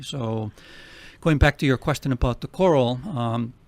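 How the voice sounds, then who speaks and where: A man with a strong Finnish accent at a moderate pace. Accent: heavy Finnish. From Finland. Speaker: nonprofit president. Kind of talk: radio interview.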